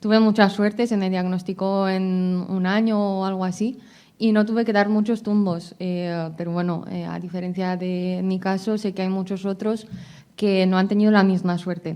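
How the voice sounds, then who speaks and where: With monotone, flat intonation, a woman talks in a dark, mellow tone. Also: medium pitch for a woman, moderate pace, very clean recording, silent background. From abroad, outside Spain. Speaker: patient advocate. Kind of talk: conference talk, patient testimony. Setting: congress panel with audience. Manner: hesitant, many fillers.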